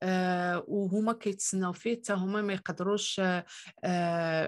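A woman on a very clean recording with a silent background. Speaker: immigration YouTuber. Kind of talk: tutorial. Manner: hesitant with frequent fillers.

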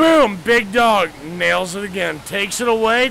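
The speaker is a man. Noticeable background noise runs underneath. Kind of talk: drunken movie plot retelling to camera. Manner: excited, rambling.

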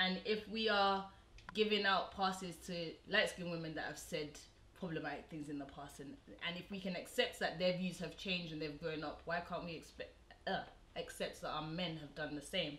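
A woman with a fairly low pitch and a bright, sharp tone speaks at a moderate pace with ordinary pitch variation and big swings in loudness, over light background noise and audible room echo. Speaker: show host. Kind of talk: casual discussion. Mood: earnest, thoughtful. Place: home room.

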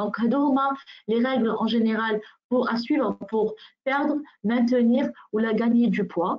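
A woman talks in an ordinary speaking voice. Her pitch is fairly high, and her intonation stays fairly even. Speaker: nutritionist and wellness consultant. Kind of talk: webinar presentation.

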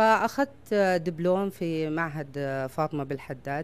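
Speaking at a fairly slow pace, a woman has a very deep, low pitch. Her pitch variation is ordinary. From Saudi Arabia. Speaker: fashion designer. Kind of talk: interview. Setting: at home. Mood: proud, warm. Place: home room. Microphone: handheld.

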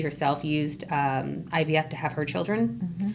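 There is light background noise as a woman talks in a very deep, low voice with vocal fry. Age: 30s. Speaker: infertility advocate, financial analyst; podcast guest. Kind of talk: personal testimony interview. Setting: podcast studio. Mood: earnest, personal topic. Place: studio. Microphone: studio mic.

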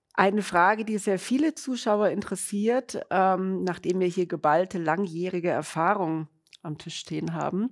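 A woman in a normal speaking voice, medium pitch and ordinary pitch variation, at a fairly slow pace over a quiet background. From Munich, Bavaria; Bavaria. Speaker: webinar moderator. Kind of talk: webinar moderation. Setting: studio, standing with colleagues. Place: studio. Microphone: lapel.

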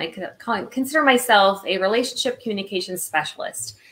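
Fairly high in pitch with ordinary variation, a woman talks fairly quickly over noticeable background noise. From Illinois, US Midwest. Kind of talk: casual interview chat. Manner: animated.

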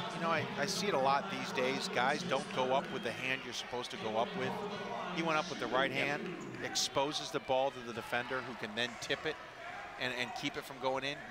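Over noticeable background noise, a man with a fairly high pitch speaks at a fairly quick pace in an excited tone, his pitch varying in an ordinary way. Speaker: color commentator. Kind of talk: live commentary. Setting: arena broadcast. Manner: fast, excited play-by-play patter; analytical, conversational.

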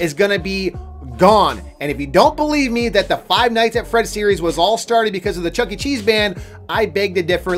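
Faint music plays behind a man speaking at a moderate pace and a high pitch. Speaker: gaming news youtuber. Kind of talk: casual vlog commentary. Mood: mock outrage, upset. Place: home room. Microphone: studio mic.

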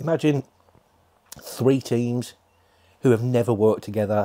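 At a moderate pace, a man speaks in a dark, mellow tone at medium pitch with ordinary pitch variation. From England. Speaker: paranormal YouTuber. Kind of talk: pre-recorded announcement. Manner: animated. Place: home room. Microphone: lapel.

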